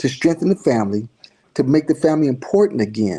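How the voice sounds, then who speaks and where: Lively intonation and a dark, mellow tone mark this man's speech at a fairly quick pace. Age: 60s. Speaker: church leader. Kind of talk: interview. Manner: halting, with many repeats.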